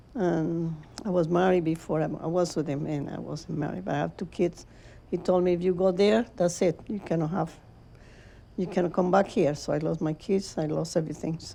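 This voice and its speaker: With a Spanish accent, a woman speaks at a moderate pace in a fairly low pitch with a dark, mellow tone. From Venezuela. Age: 80s+. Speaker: ceramic artist. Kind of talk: interview. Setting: studio.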